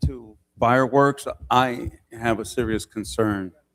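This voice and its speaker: A man talks in a normal speaking voice with ordinary pitch variation. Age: 60s. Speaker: city council member. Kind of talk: public meeting remarks.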